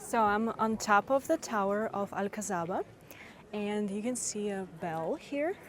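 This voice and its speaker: Fairly slow speech in a Russian accent. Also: woman, medium pitch for a woman, ordinary pitch variation. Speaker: language teacher and travel vlogger. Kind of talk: travel vlog narration. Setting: outdoors.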